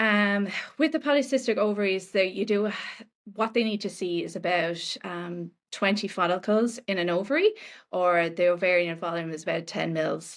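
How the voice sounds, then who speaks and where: This woman has an Irish accent and a medium pitch with ordinary variation. She speaks at a moderate pace in a very clean recording with a silent background. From Ireland. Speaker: nutritionist. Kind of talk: podcast interview.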